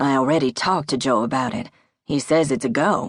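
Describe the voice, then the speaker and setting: Putting on a raspy character voice, a man talks at a fairly quick pace and a fairly high pitch. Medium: read story. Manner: direct, plainspoken.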